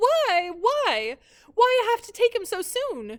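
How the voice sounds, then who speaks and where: A woman puts on a character voice that is extremely high, shrill and squeaky. Her intonation is lively. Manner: wailing.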